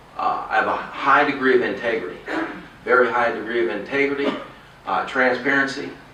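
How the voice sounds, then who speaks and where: With noticeable background noise and audible room echo, a man with an American accent speaks at a moderate pace in a fairly high voice. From Texas. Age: 50s. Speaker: political candidate. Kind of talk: campaign speech. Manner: halting.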